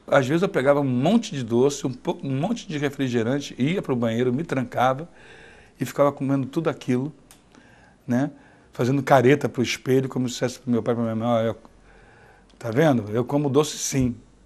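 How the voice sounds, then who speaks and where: A man talks at a fairly quick pace and a medium pitch, broken by long, frequent pauses, over a quiet background. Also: ordinary pitch variation. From Rio de Janeiro, Brazil. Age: 50s. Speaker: blind diabetic telling his life story. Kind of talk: personal testimony. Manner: halting, with repetitions.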